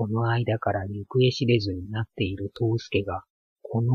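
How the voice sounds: The reading voice sounds natural, with fairly even intonation. Little can be heard behind it.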